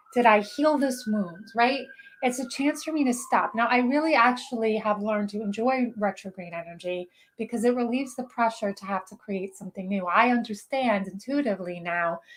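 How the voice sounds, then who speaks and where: At a fairly quick pace, a somewhat breathy voice comes through a very clean recording with a silent background. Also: woman. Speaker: spiritual channeler and show host. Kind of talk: live stream talk. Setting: live video broadcast on social media. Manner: fast; animated.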